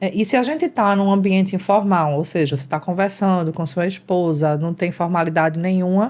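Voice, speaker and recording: A woman's plain, everyday voice at medium pitch and a moderate pace, on a very clean recording with a silent background. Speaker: speech therapist and vocal coach. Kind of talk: interview. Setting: live stream.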